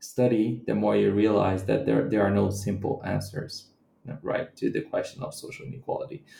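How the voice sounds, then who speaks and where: A man speaks at a moderate pace with a Portuguese accent. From Brazilian Midwest. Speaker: anthropologist and author. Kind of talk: interview.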